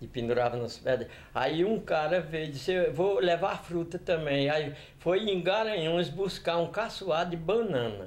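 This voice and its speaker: A man's high-pitched voice, fairly slow in pace, with lively intonation. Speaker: elderly local resident. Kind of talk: oral history testimony.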